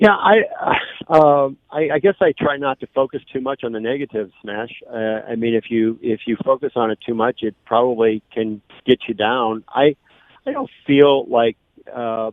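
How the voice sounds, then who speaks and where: With a Midwestern US accent, a man of medium pitch speaks at a moderate pace with ordinary pitch variation. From St. Louis area (Belleville, Illinois). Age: 60s. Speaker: political candidate. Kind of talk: radio interview. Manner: halting, many fillers.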